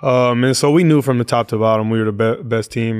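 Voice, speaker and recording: A man with an American accent talks at a fairly quick pace in a medium pitch. It is a normal speaking voice on a very clean recording with a silent background. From Oakland, California. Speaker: NBA basketball player. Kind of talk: casual interview.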